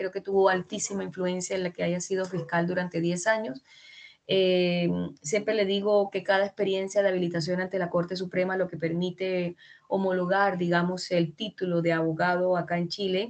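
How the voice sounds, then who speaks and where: A woman with a Colombian accent, medium pitch, monotone, flat intonation, and a fairly quick pace. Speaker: law lecturer. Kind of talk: lecture. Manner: halting.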